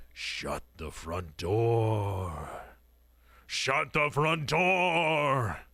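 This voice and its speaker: In a put-on character voice, a man speaks very slowly and softly at a medium pitch, raspy, with very wide pitch swings. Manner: soft, spooky.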